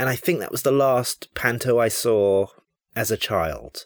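Here a man talks with a London accent. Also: dry, close sound with no echo. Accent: southern English (London). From England, central London. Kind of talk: pre-recorded listener segment, casual reminiscence. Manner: halting, with filler pauses.

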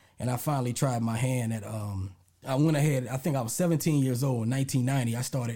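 With an American accent, a man speaks at a very fast pace in a dark, mellow, somewhat breathy tone of medium pitch with ordinary pitch variation. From US South, Lake Charles, Louisiana. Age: 40s. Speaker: hip-hop historian and podcast creator. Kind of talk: casual interview.

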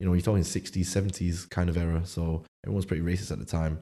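In a Manchester accent, a man speaks with a very deep, low pitch and a dark, mellow tone in a flat monotone. The recording is very clean, with a silent background. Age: 20s. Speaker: chef and food business founder. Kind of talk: casual interview chat.

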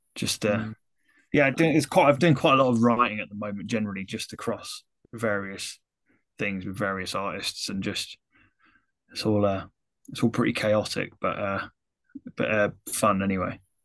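Over a quiet background, the voice moves at a moderate pace with long, frequent pauses. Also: man, fairly low pitch for a man, ordinary pitch variation. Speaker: music producer and metal vocalist. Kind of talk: casual podcast interview.

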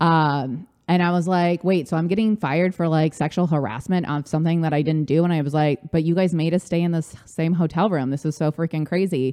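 A woman with an American accent speaks at a fairly quick pace with hardly any pauses, very even loudness and fairly even intonation, her pitch fairly low and her tone dark and mellow. The sound is dry and close with no echo. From Southern California, Orange County. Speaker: life coach. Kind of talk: casual chat.

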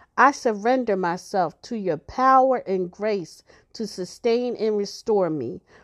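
Against a quiet background, a woman in a plain, everyday voice talks at a fairly slow pace and medium pitch with ordinary pitch variation. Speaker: prayer podcaster. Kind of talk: fervent healing prayer, spoken as an earnest plea to God. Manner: earnest, pleading, devout, intense; slow, reverent, measured.

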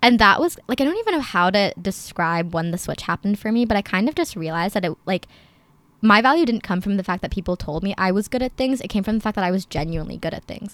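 On a very clean recording with a silent background, a woman talks at a very fast pace with an American accent. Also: medium pitch for a woman, lively intonation. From New Jersey. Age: young. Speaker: university student. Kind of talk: casual chat.

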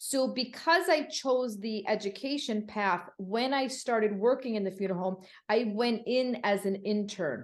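A woman with an unremarkable speaking voice talks at a moderate pace with hardly any pauses. Her pitch is fairly high and her intonation lively. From Connecticut, US. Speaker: funeral services educator. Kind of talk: interview.

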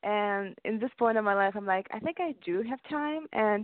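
This woman talks at a moderate pace with ordinary pitch variation. Her fairly high pitch sits in an unremarkable speaking voice. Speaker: singer. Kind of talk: interview.

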